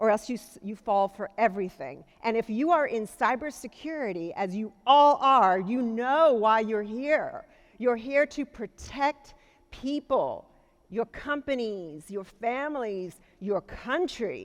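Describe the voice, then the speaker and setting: Fairly high in pitch, a woman speaks at a fairly slow pace with lively intonation. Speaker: keynote speaker, cybersecurity executive. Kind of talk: keynote speech. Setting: conference stage with audience. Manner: loud.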